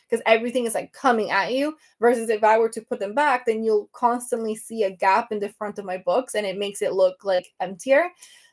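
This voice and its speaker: Animated, fairly quick speech with a Venezuelan accent. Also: woman. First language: Spanish. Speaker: book content creator. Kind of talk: casual livestream chat. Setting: live video stream.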